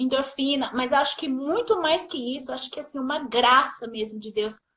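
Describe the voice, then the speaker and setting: Raising and projecting her voice, a woman talks at a moderate pace with high pitch and ordinary pitch variation. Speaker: mother telling her birth story. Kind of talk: testimony. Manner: emotional.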